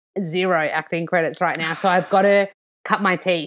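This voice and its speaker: Against a silent background in a very clean recording, a woman speaks at medium pitch with a bright, sharp tone. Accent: Australian. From Australia. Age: 30s. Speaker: nutritionist and author. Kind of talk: casual chat.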